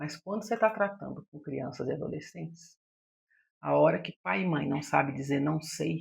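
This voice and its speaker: A woman's very deep, low voice with vocal fry, lively intonation and big swings in loudness, at a moderate pace. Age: 60s. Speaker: psychologist. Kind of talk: podcast monologue.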